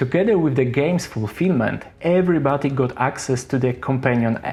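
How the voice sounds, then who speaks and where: This man speaks fairly quickly with a strong non-native accent, his medium-pitched voice showing ordinary pitch variation. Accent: heavy non-native English. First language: not English. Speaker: board game reviewer. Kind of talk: scripted review narration.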